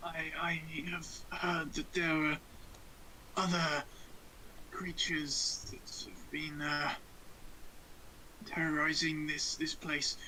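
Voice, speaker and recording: A man's put-on character voice, raspy and fairly high, at a fairly slow pace with long, frequent pauses over clear background noise. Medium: actual play. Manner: stammering, hesitant.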